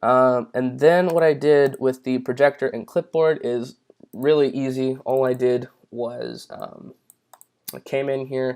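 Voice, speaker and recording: An ordinary speaking voice at a fairly slow pace with fairly even intonation. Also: man, medium pitch for a man. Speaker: YouTube tutorial creator. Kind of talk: tutorial. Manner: casual with many fillers.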